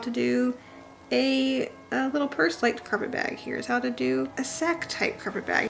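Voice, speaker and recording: Background music accompanies a woman as she talks. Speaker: historical sewing vlogger. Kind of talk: casual tutorial vlog.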